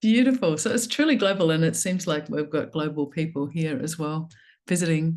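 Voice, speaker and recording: A woman talks in an Australian accent at a fairly low pitch. Her pace is fairly quick. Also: lively intonation, quiet background. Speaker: somatic coaching trainer and panel moderator. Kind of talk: online panel moderation.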